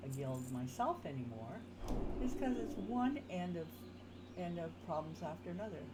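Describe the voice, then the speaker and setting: A woman's very deep, low voice with very wide pitch swings at a moderate pace, amid noticeable background noise and audible room echo. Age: 60s. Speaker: gaming streamer. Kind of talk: casual gameplay commentary. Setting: live stream. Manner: halting, filler-heavy.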